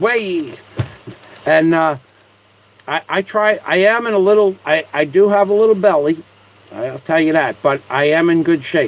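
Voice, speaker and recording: Over noticeable background noise, a man with a high pitch speaks at a moderate pace, with ordinary pitch variation and long, frequent pauses. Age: 60s. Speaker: live streamer. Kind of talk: casual live-stream monologue. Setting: live stream, seated at home. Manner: repetitive, stammering starts.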